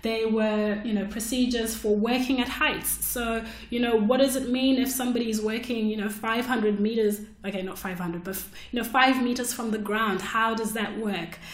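A woman speaks at a fairly high pitch and moderate pace, her intonation fairly even. There is noticeable background noise. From Zimbabwe. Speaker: podcast host and technical writer. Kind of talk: solo podcast monologue. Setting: solo recording. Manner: casual, with frequent fillers.

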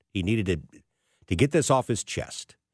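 Recorded very cleanly against a silent background with a dry, close sound and no echo, a man with a plain, everyday voice and a fairly low pitch speaks at a moderate pace with lively intonation. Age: 60s. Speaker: fill-in radio host and financial planner. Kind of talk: talk radio monologue.

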